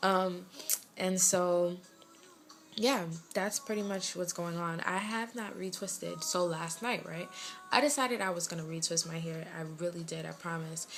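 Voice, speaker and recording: With a slight West Indian accent, a woman speaks at a moderate pace and a fairly low pitch, varying it in an ordinary way. Music plays in the background, and the room gives an audible echo. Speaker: lifestyle vlogger. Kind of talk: casual vlog update. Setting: bedroom at home.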